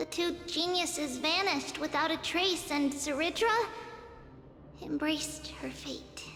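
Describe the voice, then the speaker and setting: Over clear background music, a high-pitched, put-on character voice speaks. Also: moderate pace. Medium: virtual streamer. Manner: measured, authoritative.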